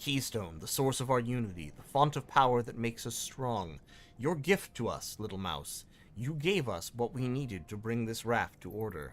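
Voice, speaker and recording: A man's rumbling, put-on character voice at a medium pitch and a moderate pace. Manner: unnerving, ominous.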